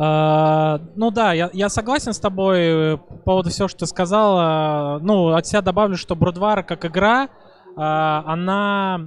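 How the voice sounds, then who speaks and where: The sound is dry with no echo as a man speaks at a high pitch with ordinary pitch variation. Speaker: stream host interviewer. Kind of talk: casual interview chat. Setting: live stream at event. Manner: casual. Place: hall. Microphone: handheld.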